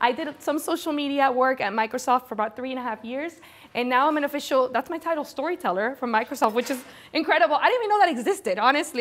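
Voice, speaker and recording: A woman with a Spanish accent speaks at a very fast pace in a high pitch. Her tone is animated and her intonation lively. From Venezuela, Caracas. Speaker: corporate storyteller and speaker. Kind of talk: conference presentation.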